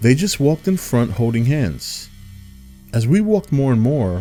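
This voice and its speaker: With music in the background, a man of medium pitch talks at a moderate pace using very wide pitch swings. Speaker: storyteller narrator. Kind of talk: horror story narration.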